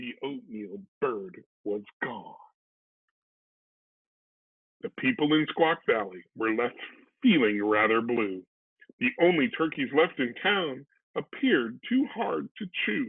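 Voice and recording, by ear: Speaking slowly at a medium pitch, a man uses lively intonation, a slightly husky edge and vocal fry, with long, frequent pauses.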